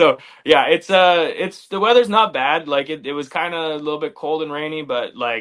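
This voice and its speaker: A man speaks with a strong Canadian accent at a fairly high pitch. His pace is moderate and his pitch variation ordinary. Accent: Canadian, very obvious. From Canada, Flin Flon, Manitoba. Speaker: MMA fighter, former wrestler. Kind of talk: interview.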